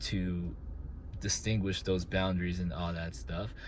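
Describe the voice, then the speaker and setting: The speaker mumbles at a moderate pace and sounds somewhat breathy. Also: man. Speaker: track and field coach. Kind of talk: casual monologue. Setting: in a car. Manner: mumbling; hesitant, many fillers.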